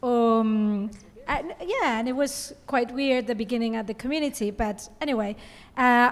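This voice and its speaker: This woman has an ordinary speaking voice with a fairly high pitch. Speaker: rabbi. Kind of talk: panel discussion. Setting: conference panel with microphone.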